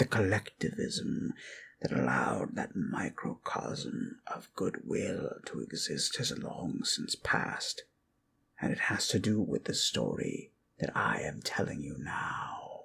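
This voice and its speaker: The speaker uses a put-on character voice. Delivery is fairly slow. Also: man. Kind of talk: ASMR sleep storytelling. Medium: solo performance. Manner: slow, measured, musing.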